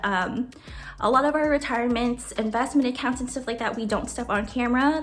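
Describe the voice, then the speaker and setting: A woman speaks with high pitch at a fairly quick pace. Music plays in the background. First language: Tagalog. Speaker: budgeting YouTuber. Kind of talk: Q&A video, casual chat. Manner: casual, filler-heavy.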